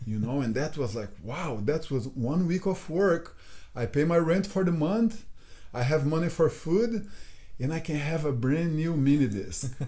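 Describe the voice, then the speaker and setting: A man speaks with a Brazilian accent at a fairly slow pace. His tone is dark and mellow. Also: fairly high pitch for a man, lively intonation. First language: Portuguese. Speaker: jiu-jitsu instructor. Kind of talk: casual chat.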